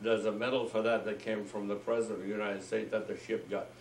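A man at a fairly low pitch, with audible room echo and light background noise. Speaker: war veteran. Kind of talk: oral history interview. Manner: halting. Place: home room. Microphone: camera far.

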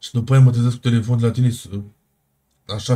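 Somewhat breathy, with a dark, mellow tone, a man speaks at a medium pitch and a fairly quick pace in a monotone, flat intonation. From Iași, Romania. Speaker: game streamer in roleplay. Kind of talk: in-character roleplay argument.

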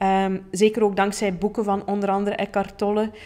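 Fairly quick speech with a Flemish accent. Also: woman. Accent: Flemish Dutch. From Flanders, Belgium. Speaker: podcast host, plant-based chef and coach; podcast host, coach. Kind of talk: personal storytelling monologue. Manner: casual with many fillers. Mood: warm, cheerful. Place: studio. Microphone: studio mic.

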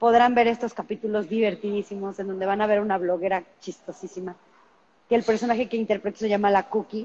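Against light background noise, a woman talks at a fairly quick pace. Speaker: actress interview guest. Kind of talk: interview answer. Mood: cheerful, promotional. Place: home room. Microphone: video call.

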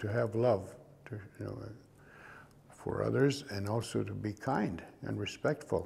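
A man's medium-pitched voice, dark and mellow, with vocal fry and ordinary pitch variation. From Saskatchewan, Canada. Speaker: Cree storyteller and actor. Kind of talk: interview answer. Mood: calm, reflective, warm. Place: studio.

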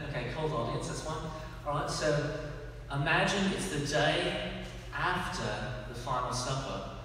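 A man's voice in strong room echo, with light background noise. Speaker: comedian. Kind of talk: stand-up comedy. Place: church. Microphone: camera far.

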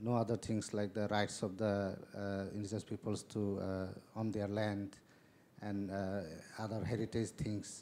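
The speaker has a Tripura accent and a monotone, flat intonation. The pace is moderate, with light background noise. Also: man, fairly low pitch for a man. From Bangladesh. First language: Kokborok. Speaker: panelist. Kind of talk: panel discussion. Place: hall.

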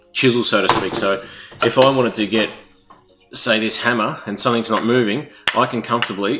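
A man's fairly low voice with fairly even intonation at a fairly quick pace, music in the background. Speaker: tool show host. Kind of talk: tutorial. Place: garage.

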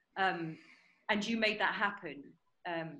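A woman's bright, sharp voice comes through with a British accent. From England. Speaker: musical theatre actress. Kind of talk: casual chat. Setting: video call. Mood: warm, grateful. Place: home room. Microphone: video call.

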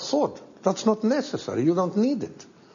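A man talks at a moderate pace. He speaks with a Spanish accent. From Chile. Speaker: economist; interviewee. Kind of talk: interview; interview answer. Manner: animated; halting. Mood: critical, emphatic. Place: studio.

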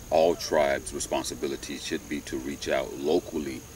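The speech moves at a fairly slow pace, the sound dry with no echo and noticeable background noise behind it. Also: man. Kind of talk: commentary monologue. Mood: calm, earnest. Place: open country.

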